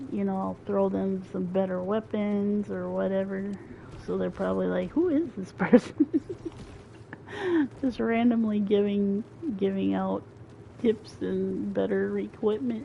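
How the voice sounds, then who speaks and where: A woman with an American accent and a relaxed tone, at a fairly slow pace with long, frequent pauses, over noticeable background noise. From rural farming town, US. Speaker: gaming streamer. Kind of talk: casual gameplay commentary. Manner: relaxed, chill; hesitant, many fillers.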